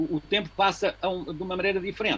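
A man's voice, high in pitch. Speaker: physicist with an interest in philosophy of time. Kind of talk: casual family conversation about philosophy.

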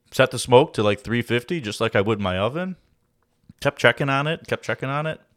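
A man talks at a very fast pace with ordinary pitch variation, in a very clean recording with a silent background and a dry, close sound without echo. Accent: Chicago. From Chicago, Illinois (Oak Lawn). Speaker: recipe and cooking guest. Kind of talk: casual chat.

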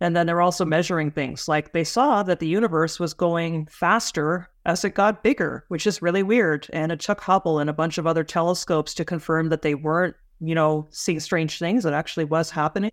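A woman's plain, everyday voice, fairly low in pitch, with a Canadian accent, fairly quick with hardly any pauses and fairly even intonation, in a very clean recording with a silent background. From Canada. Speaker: space journalist. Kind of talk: interview conversation.

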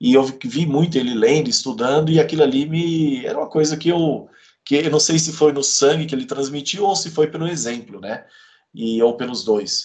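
Lively intonation and a moderate pace from a man with a normal speaking voice, pitched fairly high. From Brazil, Campo Grande, Mato Grosso do Sul. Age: 40s. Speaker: author and lawyer. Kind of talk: interview.

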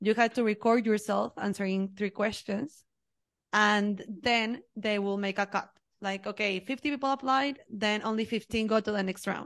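Against a quiet background, a woman with a Mexican accent talks at a moderate pace with fairly even intonation. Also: fairly high pitch for a woman. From Mexico. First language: Spanish. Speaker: HR professional. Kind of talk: casual interview. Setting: video call.

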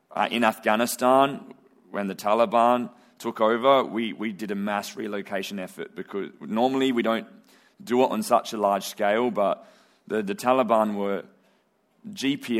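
At a moderate pace, a man uses a normal speaking voice with ordinary pitch variation. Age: young. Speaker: missions organisation representative. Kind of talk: church talk.

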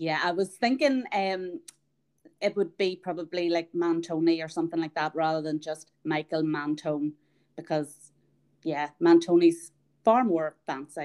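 A woman's fairly low voice in an Irish accent, at a fairly slow pace with ordinary pitch variation. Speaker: podcast host. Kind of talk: casual interview chat.

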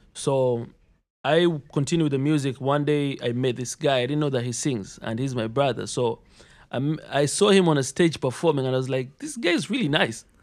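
With an ordinary speaking voice at fairly high pitch, a man talks at a moderate pace with ordinary pitch variation, recorded very cleanly against a silent background. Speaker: rapper, environmental engineering student. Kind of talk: casual interview chat.

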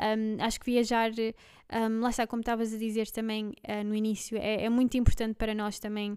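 A woman's fairly high voice, an ordinary speaking voice at a moderate pace, on a very clean recording with a silent background. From Belgium. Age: 20s. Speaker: podcast co-host, office worker. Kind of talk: casual chat.

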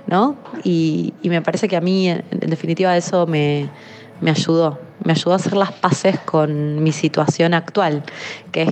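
A woman speaks at a fairly slow pace in a fairly low voice. Noticeable background noise can be heard. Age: 30s. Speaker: communications worker. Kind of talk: testimony.

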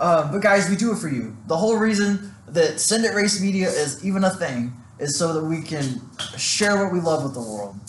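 A man's high voice with very wide pitch swings at a moderate pace, amid audible room echo and noticeable background noise. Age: 20s. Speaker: car media business owner. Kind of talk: casual chat.

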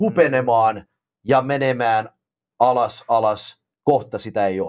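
Speaking at a fairly slow pace with an English accent, a man is heard against a quiet background. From Canada, Finnish immigrant family. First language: English (speaking Finnish). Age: 40s. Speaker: professional wrestler. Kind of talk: casual chat.

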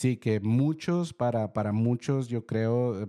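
A man's dark, mellow voice in a dry, close sound with no echo, on a very clean recording with a silent background. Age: 30s. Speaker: podcast host. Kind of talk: solo reflective monologue. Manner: hesitant, many fillers and repeated words.

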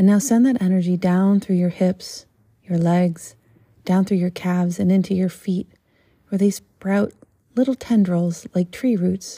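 The voice is somewhat breathy, with a dark, mellow tone and a soothing, calm tone at a fairly slow pace. Its loudness stays very even and its intonation fairly even, in a very clean recording with a silent background. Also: woman, medium pitch for a woman. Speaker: podcast host and yoga meditation guide. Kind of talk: guided meditation. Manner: slow, soothing, calm and gentle, with long pauses; hushed, dreamy and measured, paced to the breath.

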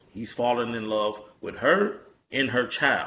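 A man is speaking. His pitch is medium. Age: 30s. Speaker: podcast host. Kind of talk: casual chat.

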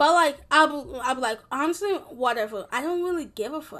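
A woman's bright, sharp, high voice with lively intonation at a fairly quick pace. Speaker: podcast host. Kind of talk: casual monologue. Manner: rambling, filler-heavy.

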